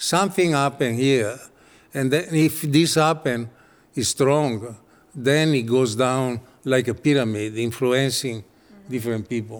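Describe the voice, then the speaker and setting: In an Italian accent, a man talks at a fairly slow pace with ordinary pitch variation. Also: medium pitch for a man. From Italy. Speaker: architect and designer. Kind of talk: interview. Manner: halting.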